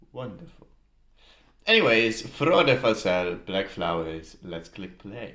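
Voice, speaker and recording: Someone with a slight Dutch accent speaks at a very slow pace. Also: man, fairly low pitch for a man. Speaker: YouTuber, music reactor. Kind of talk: casual reaction video commentary. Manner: casual, hesitant with fillers.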